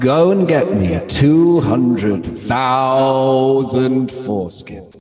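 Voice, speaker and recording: A put-on character voice from a man, medium in pitch, at a very slow pace with slight echo. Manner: commanding, authoritative.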